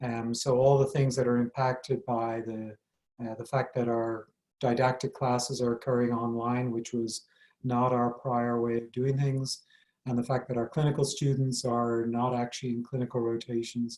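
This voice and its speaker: Speaking at a moderate pace with a slight Irish accent, a man keeps a medium pitch and a monotone, flat intonation. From Ireland. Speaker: medical school dean and professor. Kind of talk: interview.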